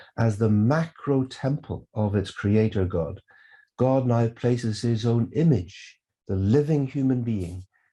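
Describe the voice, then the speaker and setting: Over a quiet background, a man at medium pitch talks at a fairly slow pace in a somewhat breathy, dark, mellow tone, his pitch swinging very widely. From Northern Ireland, Belfast. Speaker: theologian. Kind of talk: lecture.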